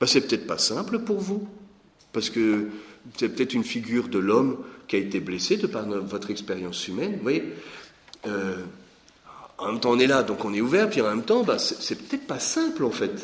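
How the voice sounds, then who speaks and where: A man talks at a moderate pace with very wide pitch swings and long, frequent pauses. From Lorraine, France. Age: 40s. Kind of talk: teaching talk. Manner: hesitant with repetitions.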